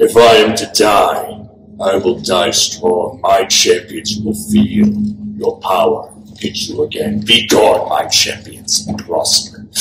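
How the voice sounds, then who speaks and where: A man's fairly low voice at a fairly slow pace, with music in the background. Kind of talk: LARP villain speech. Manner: defiant, theatrical.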